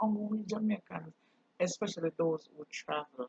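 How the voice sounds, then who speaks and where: Somewhat breathy woman's voice at a moderate pace, ordinary pitch variation, dry, close sound with no echo. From Jamaica. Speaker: channel host, culture vlogger. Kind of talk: casual monologue vlog.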